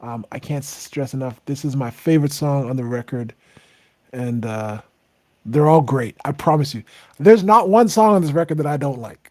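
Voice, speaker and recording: A soft-spoken man with a fairly high voice, lively intonation, big swings in loudness, and a moderate pace, in a very clean recording against a silent background. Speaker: singer-songwriter hosting a livestream. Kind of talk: casual livestream chat.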